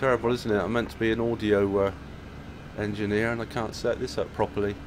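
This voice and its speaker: Amid noticeable background noise, a man with a fairly low pitch talks at a very fast pace in a monotone, flat intonation. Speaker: flight simulator streamer. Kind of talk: live stream commentary; casual livestream chat. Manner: relaxed, chatty with fillers; loud. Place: home room. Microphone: headset.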